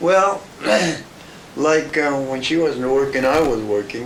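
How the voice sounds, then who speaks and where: A man with an American accent at medium pitch, fairly slow pace and ordinary pitch variation, with audible room echo and noticeable background noise. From New Mexico, US. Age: 80s+. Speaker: elderly grandfather interviewee. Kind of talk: family oral history interview. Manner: halting, repetitive.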